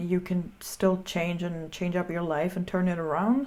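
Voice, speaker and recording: A non-native accent at a moderate pace. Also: woman. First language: not English. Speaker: filmmaker reacting to music videos. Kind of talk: video reaction commentary. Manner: casual, filler-heavy.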